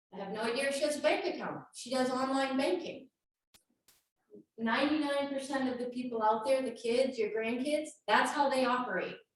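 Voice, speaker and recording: In a room with audible echo, a woman speaks fairly quickly in a high pitch with ordinary pitch variation. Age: 50s. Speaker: insurance and investment advisor. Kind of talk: presentation.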